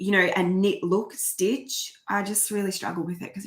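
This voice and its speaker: In an Australian accent, a woman speaks at a moderate pace. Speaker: crochet YouTuber. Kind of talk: live stream chat reading comments. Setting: home live stream. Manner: animated.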